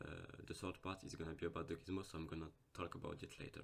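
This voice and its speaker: A man with a non-native accent, a very deep, low pitch and fairly even intonation. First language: not English. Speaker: gaming YouTuber. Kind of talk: game tutorial. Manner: hesitant, with fillers.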